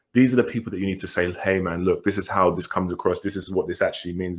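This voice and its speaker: A man with a British accent at a very fast pace. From England. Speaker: podcast co-host. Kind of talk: casual chat.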